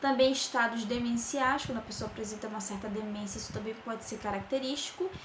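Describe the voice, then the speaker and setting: The speech runs very fast with hardly any pauses and ordinary pitch variation. There is noticeable background noise and audible room echo. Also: woman, fairly high pitch for a woman. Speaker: nursing professor. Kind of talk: lecture.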